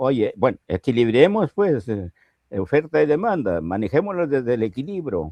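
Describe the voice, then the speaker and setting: A man with a medium-pitched voice and a dark, mellow tone speaks at a moderate pace, his pitch swinging very widely, in a dry, close recording with no echo. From Peru, Piura highlands. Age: 80s+. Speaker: political analyst. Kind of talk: interview. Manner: animated.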